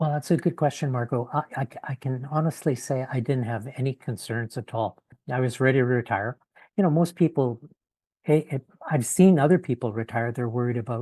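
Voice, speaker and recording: A man with a Canadian accent and a somewhat breathy voice of dark, mellow tone speaks at medium pitch and a fairly quick pace with ordinary pitch variation, sounding dry and close with no echo against a quiet background. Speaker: retired in-house lawyer. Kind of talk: podcast interview. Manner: halting, many fillers.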